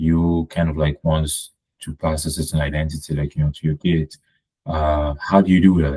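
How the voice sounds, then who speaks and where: A man with a slight non-native accent speaks in a very deep, low pitch. His intonation is monotone and flat, in a dry, close sound with no echo. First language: French. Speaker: podcast guest. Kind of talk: casual conversation. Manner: hesitant, many fillers.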